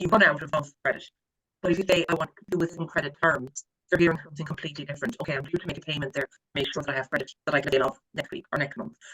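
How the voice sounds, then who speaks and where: With an Irish accent, a man talks very fast in a high, bright, sharp voice with ordinary pitch variation, the sound dry and close with no echo. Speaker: credit management trainer. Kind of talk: training lecture. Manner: animated.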